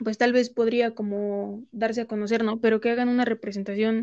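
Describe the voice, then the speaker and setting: The woman's voice is fairly high-pitched with a dark, mellow tone, delivered at a moderate pace in a monotone, flat intonation. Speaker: accounting and law student. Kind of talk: casual chat.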